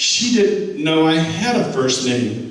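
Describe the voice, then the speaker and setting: Noticeable background noise and audible room echo accompany a man speaking at a fairly high pitch. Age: 70s. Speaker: war veteran and team speaker. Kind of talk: motivational talk to a football team. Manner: halting.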